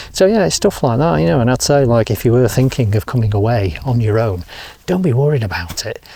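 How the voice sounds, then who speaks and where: A man with an English accent at a very fast pace, medium in pitch with very wide pitch swings. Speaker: motorcycle travel vlogger. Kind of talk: travel vlog to camera. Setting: outdoors. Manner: casual, chatty with fillers; quiet.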